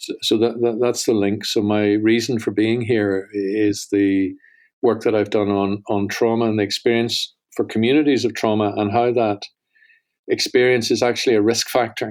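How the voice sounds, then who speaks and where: In a Northern Irish accent, a man speaks at a medium pitch and moderate pace with monotone, flat intonation, in a very clean recording with a silent background. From Northern Ireland. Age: 50s. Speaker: holocaust studies center director. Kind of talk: podcast interview.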